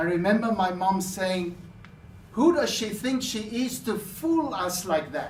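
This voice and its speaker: Speaking at a fairly slow pace, a man with a high voice uses lively intonation, while audible room echo and noticeable background noise fill the recording. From South Africa. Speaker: public speaker. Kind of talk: contest speech.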